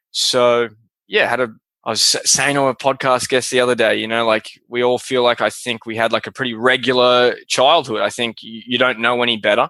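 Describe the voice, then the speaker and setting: A man with an Australian accent and a bright, sharp tone speaks at medium pitch with monotone, flat intonation and a fairly quick pace, the sound dry and close with no echo against a quiet background. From Australia, Melbourne. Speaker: podcast host, guest. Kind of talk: interview. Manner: casual, hesitant with fillers.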